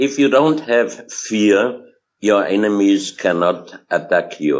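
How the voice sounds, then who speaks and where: A man speaking very slowly, fairly low-pitched, with a non-native accent. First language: German. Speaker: researcher of hidden history. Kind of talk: interview. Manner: halting, many fillers.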